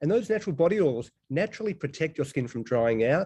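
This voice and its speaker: A man speaks very fast with a dark, mellow tone and a somewhat breathy sound. His fairly high pitch swings very widely. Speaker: integrative medicine doctor and professor. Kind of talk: lecture.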